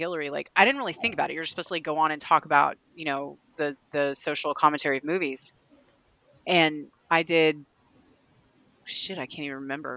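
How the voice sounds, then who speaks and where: In a Kentucky accent, a woman with a very deep, low pitch and a bright, sharp tone talks at a very fast pace, in a dry, close sound with no echo. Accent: Kentucky Southern US. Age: 40s. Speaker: horror author. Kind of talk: casual chat. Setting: remote audio call. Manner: talkative, admits interrupting.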